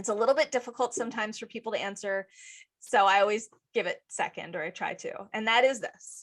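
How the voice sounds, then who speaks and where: An energetic, very fast woman's voice, fairly high in pitch, with ordinary pitch variation. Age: 40s. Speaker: podcast host. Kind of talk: casual chat. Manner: loud; energetic, excitable.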